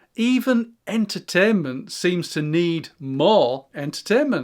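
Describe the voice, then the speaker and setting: A man with an English accent speaks at a high pitch. The recording is very clean, with a silent background. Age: 60s. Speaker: YouTuber. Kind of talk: reflective monologue. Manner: calm.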